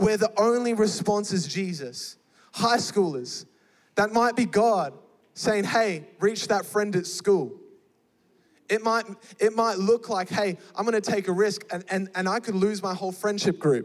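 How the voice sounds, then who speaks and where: An animated man speaks with an Australian accent. His voice is high, and his pace fairly slow. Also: ordinary pitch variation. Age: 20s. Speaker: youth pastor. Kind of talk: sermon. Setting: church with live audience.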